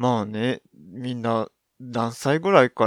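The recording is very clean with a silent background. A man at medium pitch speaks with fairly even intonation. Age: 30s. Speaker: podcast host. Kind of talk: casual solo monologue. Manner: halting, many fillers.

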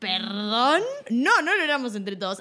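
In a very clean recording with a silent background, a woman speaks in a bright, sharp tone. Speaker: radio co-host. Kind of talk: casual chat.

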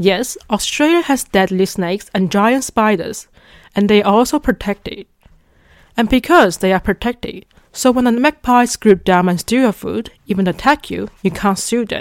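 Fairly high-pitched woman in a Chinese accent, lively intonation, moderate pace, dry and close sound with no echo. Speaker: podcast host, international student. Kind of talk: scripted monologue.

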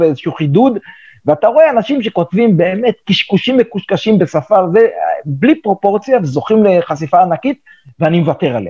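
With very wide pitch swings, a man speaks in a high pitch with a dark, mellow tone. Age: 70s. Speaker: veteran journalist and editor. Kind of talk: interview.

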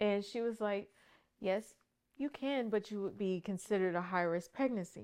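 A woman talks at a moderate pace in a normal speaking voice. Her medium pitch shows ordinary variation over a quiet background. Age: 30s. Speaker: pageant titleholder and army HR worker. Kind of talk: casual interview, personal testimony.

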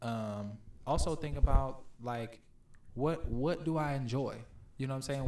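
Male speaker, medium pitch, moderate tempo, audible room echo. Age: 20s. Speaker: podcast guest. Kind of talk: casual chat.

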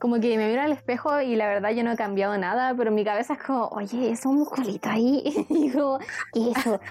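Music plays behind a woman speaking in a Chilean accent at a high pitch. Her pace is fairly quick and her loudness very even. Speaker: student and podcast co-host. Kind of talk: casual chat. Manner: monotone.

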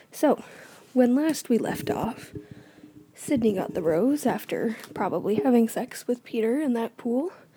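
There is noticeable background noise behind this woman. She speaks fairly slowly in a high voice with lively intonation. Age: 20s. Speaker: solo podcast host recapping reality TV. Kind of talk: casual recap monologue. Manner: animated.

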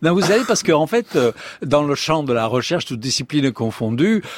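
A man's fairly high voice with a Provençal accent and very wide pitch swings, dry and close with no echo. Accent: southern French (Provençal). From Provence, southern France. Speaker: astrophysicist. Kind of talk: radio interview. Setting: studio.

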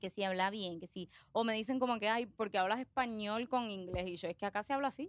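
Woman's fairly high-pitched voice at a very fast pace. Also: very clean recording, silent background. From Puerto Rico, moved from Argentina at age five. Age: 20s. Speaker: accountant and social media creator. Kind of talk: casual interview chat. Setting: studio. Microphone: close to microphone.

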